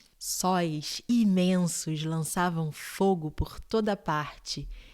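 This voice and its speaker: A soft-spoken woman talks in a calm tone at a medium pitch with ordinary pitch variation. The recording is very clean, with a silent background. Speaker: bedtime story narrator. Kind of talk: sleep story reading. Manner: soft-spoken, calm.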